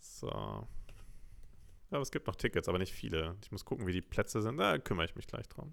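A man talks at a fairly quick pace but breaks it with long, frequent pauses. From Lower Saxony (Braunschweig area). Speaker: podcast co-host. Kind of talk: casual chat.

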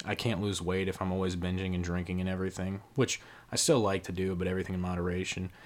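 This man talks at a very fast pace in a very deep, low pitch, his intonation monotone and flat. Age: 20s. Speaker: podcast co-host. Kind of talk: casual chat.

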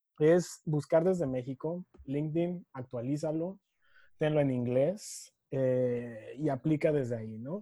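The voice moves at a very slow pace with ordinary pitch variation. Its tone is dark and mellow. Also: man, fairly high pitch for a man. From Mexico City. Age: 20s. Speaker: sustainability specialist. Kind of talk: interview.

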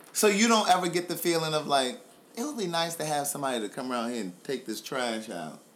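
A very fast, animated man with an American accent, fairly high pitch with very wide swings, noticeable background noise. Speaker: podcast host. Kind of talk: casual chat with family member, interview. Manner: animated, joking.

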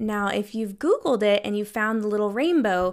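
On a very clean recording with a silent background, a woman uses a normal speaking voice at a fairly high pitch with ordinary pitch variation. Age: 30s. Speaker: mental health counselor, podcast host. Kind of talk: solo educational podcast talk. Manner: casual, conversational.

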